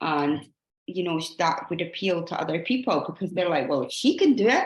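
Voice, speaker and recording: A woman with a Scottish accent speaks at a medium pitch, her voice making very wide pitch swings. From Scotland. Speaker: fitness coach leading a team call. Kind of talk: team training call. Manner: fast.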